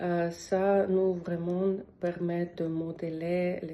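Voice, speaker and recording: A woman speaks at a very slow pace in a fairly low pitch, her dark, mellow tone held in a flat, monotone intonation. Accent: non-native. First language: not French (speaking French). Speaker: language learner. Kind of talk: testimonial. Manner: halting, many hesitations.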